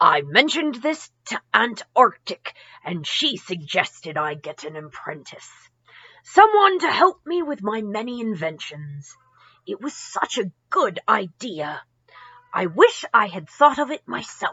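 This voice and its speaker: Using a put-on character voice, a woman speaks at a fairly slow pace with a fairly high pitch and very wide pitch swings. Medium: read story.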